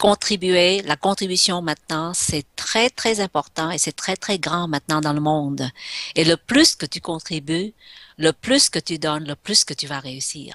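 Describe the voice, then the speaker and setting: A woman's fairly low voice, fairly slow, with ordinary pitch variation, dry and close with no echo, over a quiet background. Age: 60s. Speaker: entrepreneur and inspirational speaker. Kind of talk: radio interview. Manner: hesitant, many fillers.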